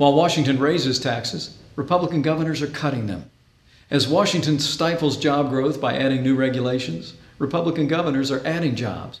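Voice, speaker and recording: A man speaks at a fairly quick pace in a normal speaking voice with an American accent. His pitch is fairly high, with ordinary variation. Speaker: state governor. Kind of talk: political weekly address.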